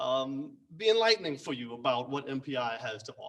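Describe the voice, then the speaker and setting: Here a man talks at a medium pitch and moderate pace with lively intonation. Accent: American. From New York City. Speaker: acting instructor. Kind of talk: open house presentation. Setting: soundstage with audience. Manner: halting, many fillers.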